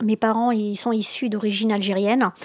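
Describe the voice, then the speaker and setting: A woman's ordinary speaking voice, fairly high-pitched and fairly even in intonation, at a moderate pace, with a dry, close sound free of echo on a very clean recording against a silent background. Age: 50s. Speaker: parent. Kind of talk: interview testimony.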